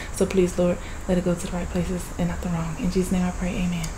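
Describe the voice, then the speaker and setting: A woman talks at a very fast pace, her fairly low voice held in a flat monotone. Noticeable background noise runs underneath. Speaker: mukbang vlogger. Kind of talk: casual vlog chat. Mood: playful, joking. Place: home room. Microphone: phone near.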